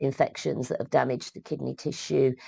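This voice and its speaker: In a British accent, a woman is heard on a very clean recording with a silent background and a dry, close sound without echo. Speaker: midwifery educator. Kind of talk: lecture. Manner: halting, many fillers.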